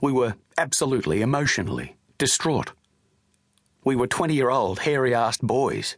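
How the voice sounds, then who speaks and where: With vocal fry and a medium pitch, a man talks at a moderate pace with long, frequent pauses, ordinary pitch variation and very even loudness. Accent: Australian. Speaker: audiobook narrator. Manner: measured, sombre narration shifting into quoted recollections of departure and grief.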